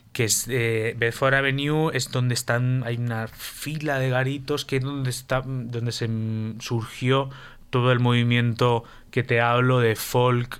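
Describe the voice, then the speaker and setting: A man speaks at a fairly slow pace with a medium pitch. His intonation is monotone and flat on a very clean recording with a silent background. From Spain, Valencia. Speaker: guitarist. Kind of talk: radio interview.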